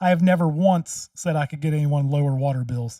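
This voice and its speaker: In a very clean recording with a silent background and a dry, close sound with no echo, a man speaks at a moderate pace with a dark, mellow tone and a fairly high pitch. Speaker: commentary video host and local candidate. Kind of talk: reaction commentary. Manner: loud.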